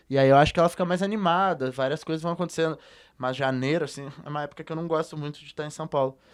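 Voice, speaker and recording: Very fast male speech, its intonation fairly even. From southern Brazil, Rio Grande do Sul (Porto Alegre). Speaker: musician. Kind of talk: interview conversation. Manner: relaxed, hesitant with many fillers.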